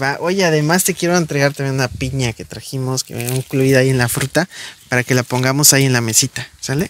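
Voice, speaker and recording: Speaking at a very fast pace, a man is heard in dry sound with no echo and light background noise. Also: ordinary pitch variation. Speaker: visiting benefactor or host. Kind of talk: warm conversational talk to a child. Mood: warm, encouraging.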